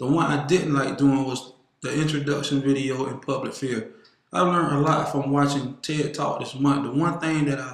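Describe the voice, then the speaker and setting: Fairly high for a man, his voice keeps a fairly even intonation, with audible room echo around it. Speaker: student. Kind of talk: class presentation. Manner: fast.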